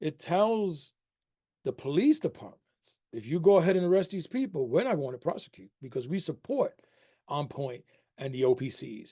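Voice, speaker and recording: A fairly high-pitched man with a New York accent, a dark, mellow tone and very wide pitch swings. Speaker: harm reduction program director. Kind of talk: webinar talk. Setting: webinar.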